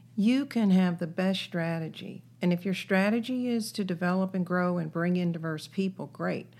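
A woman with an American accent speaks in a normal speaking voice, at a medium pitch with ordinary variation. She keeps a moderate pace with hardly any pauses on a very clean recording with a silent background. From US South, North Carolina. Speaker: business executive. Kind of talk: interview.

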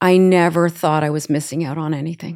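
Over a silent background on a very clean recording, a woman with a normal speaking voice and fairly low pitch talks at a moderate pace with fairly even intonation. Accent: Canadian. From Canada, partly raised in the US. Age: 60s. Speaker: social media creator. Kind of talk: interview conversation.

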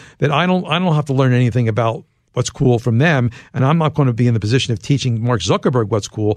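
Against a quiet background, a man with an American accent speaks in a medium pitch with ordinary pitch variation, a plain, everyday voice. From US, Philadelphia. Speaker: journalist and author. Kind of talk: interview.

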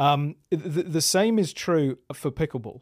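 A man speaks with a British accent and ordinary pitch variation. The recording is very clean with a silent background and a dry, close sound with no echo. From England. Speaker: pickleball tour marketing executive. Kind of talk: podcast interview. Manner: halting.

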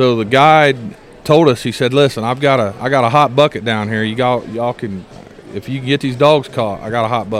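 Against noticeable background noise, a man at medium pitch talks fairly quickly with fairly even intonation. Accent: American. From Indiana. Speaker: coon hunter. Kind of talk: casual interview. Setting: event venue.

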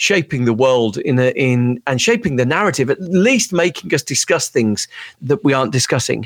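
A man with a Brummie accent speaks at a fairly high pitch, his intonation lively. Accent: Birmingham (Brummie). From Birmingham, England. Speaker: author and former tech executive. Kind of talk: interview.

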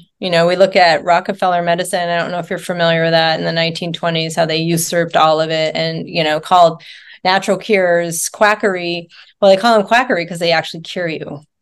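At a very fast pace, a woman talks in a fairly low pitch with fairly even intonation. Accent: American. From rural Nevada, US. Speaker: nurse and wellness coach. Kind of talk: interview.

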